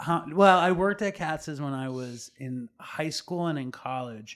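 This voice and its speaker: Here a man with an American accent and a normal speaking voice talks at a moderate pace with ordinary pitch variation. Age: 50s. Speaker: podcast host in recovery. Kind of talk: casual chat.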